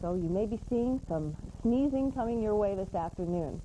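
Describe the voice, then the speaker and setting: With light background noise behind her, a woman speaks with lively intonation. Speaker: weather forecaster. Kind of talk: TV weather forecast. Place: studio. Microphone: lapel.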